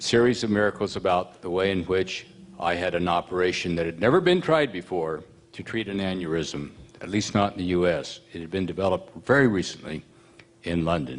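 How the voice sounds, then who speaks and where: Moving at a fairly quick pace, a man with a very deep, low pitch speaks with ordinary pitch variation. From US Midwest, Missouri Ozarks. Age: 70s. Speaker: retired politician and author. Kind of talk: personal testimony speech.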